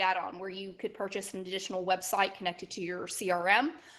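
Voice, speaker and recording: A woman speaks with a Southern US accent. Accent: Southern twang. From Alabama, Gulf Coast. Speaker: software trainer. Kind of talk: online training session. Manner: halting, with repeated words.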